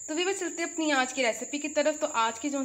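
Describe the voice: Here a woman talks with ordinary pitch variation.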